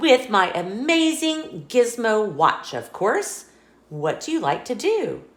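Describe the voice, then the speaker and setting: A female-sounding, put-on character voice, high-pitched, with very wide pitch swings. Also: fairly slow pace. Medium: read story. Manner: upbeat, confident.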